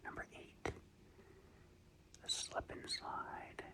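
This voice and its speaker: Whispering unfolds at a very slow pace. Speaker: ASMR content creator. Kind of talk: ASMR show and tell guide flip-through. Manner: whispered.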